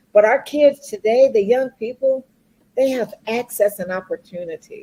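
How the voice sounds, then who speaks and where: This is an ordinary speaking voice with lively intonation. It moves at a fairly slow pace. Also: woman. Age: 60s. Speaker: corporate professional and speaker. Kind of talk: talk show interview.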